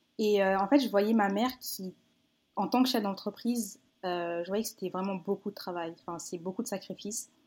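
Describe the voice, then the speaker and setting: Moderately paced speech in a plain, everyday voice, ordinary pitch variation throughout, very clean recording and silent background. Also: woman, medium pitch for a woman. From France, Paris region. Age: 20s. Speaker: children's book author. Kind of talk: casual interview.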